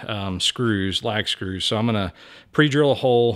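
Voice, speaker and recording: In a quiet setting, a man with an unremarkable speaking voice talks at a moderate pace, his fairly low pitch varying in an ordinary way. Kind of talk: tutorial. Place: garage. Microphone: phone near.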